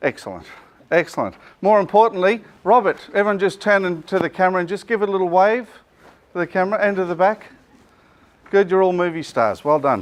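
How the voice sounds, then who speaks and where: Very fast and loud, this speaker talks with an Australian accent and fairly even intonation, broken up by long, frequent pauses. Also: man, high pitch for a man. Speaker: business coach and presenter. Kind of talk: business seminar presentation. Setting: seminar room with live audience. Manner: loud, projecting without microphone.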